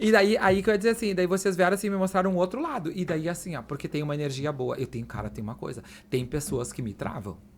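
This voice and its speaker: With hardly any pauses, the words come out at a very fast pace. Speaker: journalist and master of ceremonies. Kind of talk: casual chat.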